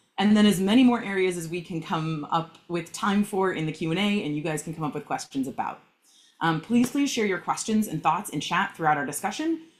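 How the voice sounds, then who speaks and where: With ordinary pitch variation, the delivery moves along at a fairly quick pace. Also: woman. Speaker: leadership coach and panel moderator. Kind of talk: panel discussion / webinar. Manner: fast when excited.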